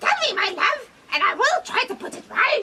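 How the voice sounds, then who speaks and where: In a put-on character voice, a woman sounds squeaky and extremely high-pitched while keeping a moderate pace. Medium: stage play. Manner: sly, knowing.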